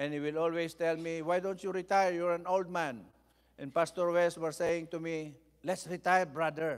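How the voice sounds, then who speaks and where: Over a quiet background, a high-pitched man speaks at a moderate pace in a monotone, flat intonation. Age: 70s. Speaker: bishop and preacher; bishop, preacher. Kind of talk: sermon. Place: church. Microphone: podium.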